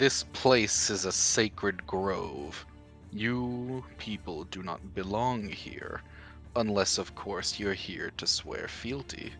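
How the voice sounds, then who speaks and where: A man speaks in a booming, put-on character voice, fairly low in pitch. His delivery is very slow, with clear music in the background. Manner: commanding, imperious.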